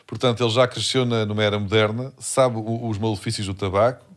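A man with a medium pitch and a plain, everyday voice speaks at a fairly quick pace on a very clean recording with a silent background. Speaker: comedy podcast co-host. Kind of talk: casual chat.

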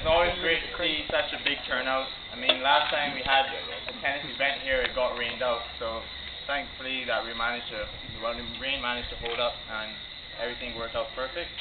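A man talks at a fairly quick pace. Noticeable background noise accompanies him. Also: medium pitch for a man, fairly even intonation. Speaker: professional tennis player. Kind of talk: thank-you speech at event. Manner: quiet.

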